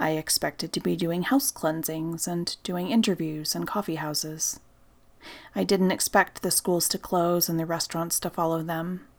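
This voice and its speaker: A woman has a plain, everyday voice, fairly low in pitch with ordinary pitch variation. The recording is very clean, with a silent background. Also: moderate pace. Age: 30s. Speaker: podcast host and storyteller. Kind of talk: scripted narration. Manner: calm, soothing.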